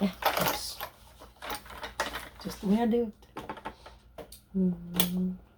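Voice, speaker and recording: Soft-spoken and monotone, a woman at a medium pitch talks at a very slow pace with long, frequent pauses over noticeable background noise. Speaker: sewing content creator. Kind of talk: tutorial.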